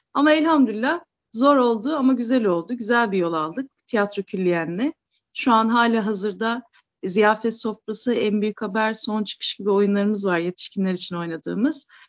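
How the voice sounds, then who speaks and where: Woman's fairly high, lively-sounding delivery at a moderate speed, an ordinary speaking voice. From Istanbul, Turkey. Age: 40s. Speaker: theatre founder and writer. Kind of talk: interview conversation.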